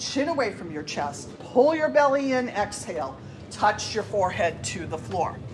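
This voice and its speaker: Music plays in the background as a woman talks in a calm, soothing tone. She speaks fairly slowly, with very wide pitch swings. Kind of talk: guided yoga class, step-by-step cueing of poses. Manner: calm, soothing, encouraging, steady instructional pace with warm praise.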